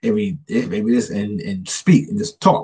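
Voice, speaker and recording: A man's somewhat breathy voice swings very widely in pitch at a moderate pace. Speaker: author. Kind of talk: casual chat. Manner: halting.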